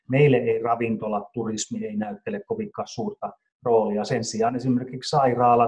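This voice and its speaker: A man's somewhat breathy voice is heard with a quiet background. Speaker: company CEO. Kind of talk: business interview. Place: home room. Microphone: video call.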